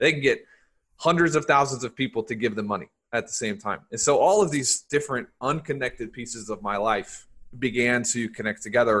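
Fairly quick speech in an American accent, with ordinary pitch variation. It is an unremarkable speaking voice. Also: man, medium pitch for a man. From US South. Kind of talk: casual interview.

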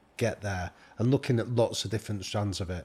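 In a very clean recording with a silent background, a man with a northern English accent talks very fast in a somewhat breathy, fairly low voice with fairly even intonation. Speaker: professor and podcaster. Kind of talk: casual interview chat.

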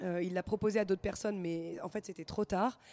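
Captured in a very clean recording with a silent background, a woman with a dark, mellow tone speaks at a medium pitch and moderate pace, her intonation fairly even. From northern France (Lille). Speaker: wine shop owner. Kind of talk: casual chat. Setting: live radio recording in a record shop.

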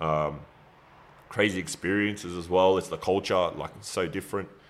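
Very deep and low in pitch, a man talks with fairly even intonation. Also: very clean recording, silent background. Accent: Australian. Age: 40s. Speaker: retired professional basketball player and trainer. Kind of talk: casual interview chat.

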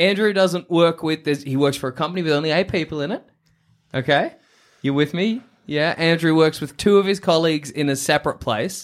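In a very clean recording with a silent background, a man with an Australian accent talks at a fairly quick pace, his fairly high pitch showing ordinary variation. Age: 20s. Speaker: podcast host. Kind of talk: casual chat.

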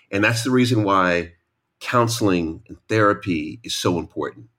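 This man sounds animated and energetic, speaking with a New York accent. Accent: New York American. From New York, US. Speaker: author and matchmaker. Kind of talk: casual chat. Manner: animated, energetic.

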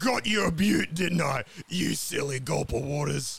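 A man's cartoonish character voice, fairly high in pitch, at a moderate pace. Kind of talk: comic cartoon voice. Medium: audio drama. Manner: bossy, bickering.

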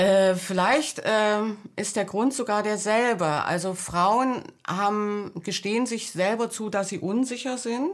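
A woman speaks at a very slow pace in a fairly high voice with ordinary pitch variation, on a very clean recording with a silent background. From East Germany (GDR). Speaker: book editor and author. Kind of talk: interview.

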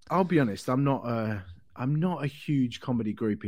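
In an English accent, a man speaks with ordinary pitch variation on a very clean recording with a silent background. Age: 40s. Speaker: comedian. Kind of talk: casual chat.

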